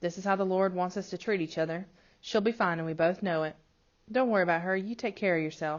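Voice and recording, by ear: Text is being read aloud. The delivery uses a natural voice.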